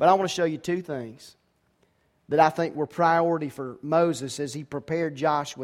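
At a moderate pace, a man speaks in a plain, everyday voice, his fairly high pitch showing ordinary pitch variation. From US South, Georgia. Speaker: pastor. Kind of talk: sermon. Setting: church.

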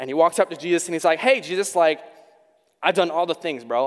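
In a dry, close sound with no echo, a man speaks at a fairly high pitch with ordinary pitch variation. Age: 20s. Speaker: youth pastor. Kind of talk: sermon. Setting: church. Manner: fast; animated.

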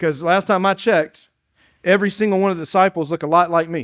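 With a Southern US accent, a man talks at a fairly quick pace in a high pitch with ordinary pitch variation, against a quiet background. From South Carolina (Dillon). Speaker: pastor. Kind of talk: sermon. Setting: church.

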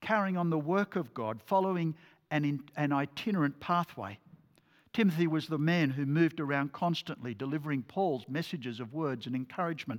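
In a very clean recording with a silent background, a man with an Australian accent and a fairly high pitch talks at a fairly quick pace with ordinary pitch variation. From Australia, New South Wales. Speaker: lay preacher. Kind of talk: sermon.

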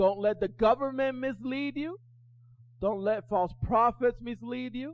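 Against a quiet background, a man with a high pitch talks fairly slowly with lively intonation. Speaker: pastor. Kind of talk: sermon. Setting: church with congregation. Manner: loud, animated, yelling and repeating lines in full flow; urgent, exhorting the congregation with call-and-response.

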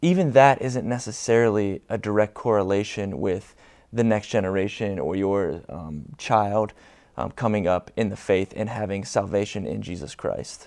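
An unremarkable speaking voice at a moderate pace, with ordinary pitch variation over a quiet background. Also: man, fairly low pitch for a man. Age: young. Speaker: student ministries pastor. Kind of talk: church panel discussion. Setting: church stage with congregation.

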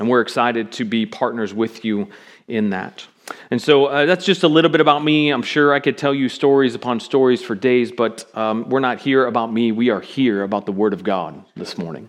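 Using an ordinary speaking voice, a man with an American accent talks at a medium pitch and a fairly quick pace with lively intonation. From US West Coast, Seattle. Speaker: pastor. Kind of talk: sermon. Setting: church.

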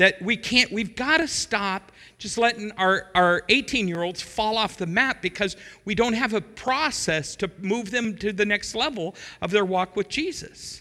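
A high-pitched man projects a raised voice with a bright, sharp tone at a fairly slow pace, with ordinary pitch variation, on a very clean recording with a silent background. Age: 60s. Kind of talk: sermon. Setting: church.

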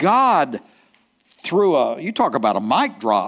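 A man with an East Texas accent and very wide pitch swings, on a very clean recording with a silent background. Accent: East Texas Southern. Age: 70s. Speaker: pastor. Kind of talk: sermon. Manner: halting, with frequent fillers and repetitions.

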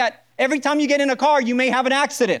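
A man's extremely high voice at a very fast pace. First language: Spanish. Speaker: pastor. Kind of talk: sermon. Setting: church.

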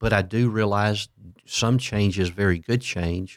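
In a dry, close recording with no echo, very clean and with a silent background, a man with an unremarkable speaking voice talks at a fairly slow pace, with fairly low pitch and fairly even intonation. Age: 60s. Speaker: pastor. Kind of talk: casual interview chat.

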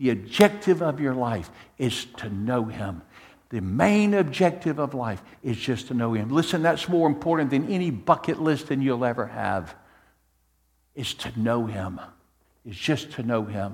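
With very wide pitch swings around a medium pitch, a man talks at a moderate pace. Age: 60s. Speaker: pastor. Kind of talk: sermon. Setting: church.

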